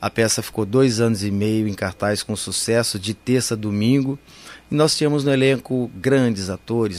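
Fairly even intonation marks this ordinary speaking voice. The pace is fairly slow. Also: man. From Campinas, São Paulo state, Brazil. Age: 60s. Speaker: actor and clown. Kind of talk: interview.

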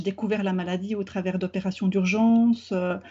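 The pitch varies in an ordinary way. The voice is somewhat breathy. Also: woman. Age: 40s. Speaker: therapist. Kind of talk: interview. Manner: halting.

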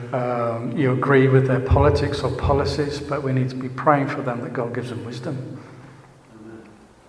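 A man of medium pitch speaks at a moderate pace, with audible room echo and noticeable background noise. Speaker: church teacher. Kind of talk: sermon. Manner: halting.

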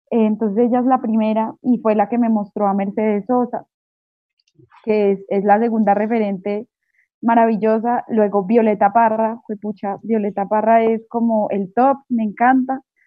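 Flat, monotone delivery at a moderate pace. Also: woman, fairly high pitch for a woman. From Colombia, Manizales. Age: 20s. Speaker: singer-songwriter. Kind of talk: interview. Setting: remote call.

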